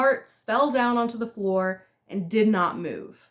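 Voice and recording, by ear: Reading aloud in a natural voice, with ordinary pitch variation. The background is quiet.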